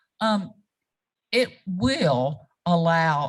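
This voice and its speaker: With a South Carolina accent, a woman speaks at a fairly low pitch with vocal fry. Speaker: reproductive rights advocate. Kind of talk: panel discussion.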